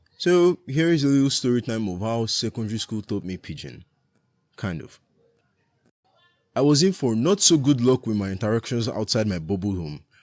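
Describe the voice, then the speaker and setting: A man with a medium pitch talks at a moderate pace, his pitch swinging very widely and his loudness shifting a lot, with long, frequent pauses. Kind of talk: animated storytime narration. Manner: casual, humorous.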